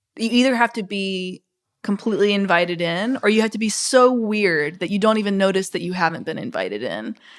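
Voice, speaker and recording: Delivered at a fairly quick pace, a normal speaking voice with ordinary pitch variation carries an American accent. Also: woman, medium pitch for a woman. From US South, Mississippi. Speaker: author. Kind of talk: interview.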